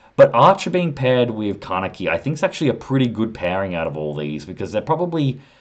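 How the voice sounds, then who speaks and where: A man talks very fast in an Australian accent with lively intonation. The background is quiet. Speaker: anime commentator YouTuber. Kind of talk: casual video commentary, ranking. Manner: casual, thinking aloud with fillers.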